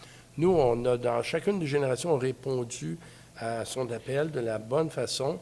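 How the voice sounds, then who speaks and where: With a dark, mellow tone, a man speaks at a fairly slow pace, showing ordinary pitch variation and big swings in loudness. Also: medium pitch for a man. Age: 70s. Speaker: family business president. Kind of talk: interview.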